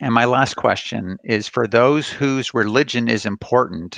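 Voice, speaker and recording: In a dry, close sound with no echo, a man with an unremarkable speaking voice talks at a moderate pace with ordinary pitch variation. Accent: American. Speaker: counseling professor. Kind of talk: lecture.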